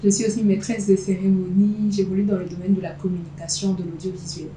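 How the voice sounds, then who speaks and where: Against noticeable background noise, speech runs at a fairly quick pace with hardly any pauses and ordinary pitch variation. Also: woman. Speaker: voice actor, slam poet, master of ceremonies. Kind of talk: interview answer.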